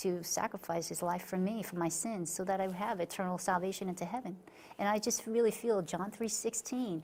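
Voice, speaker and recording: A woman with an American accent, medium pitch and fairly even intonation, at a fairly quick pace over noticeable background noise. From Long Island, New York. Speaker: author. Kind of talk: interview. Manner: halting, many fillers and restarts.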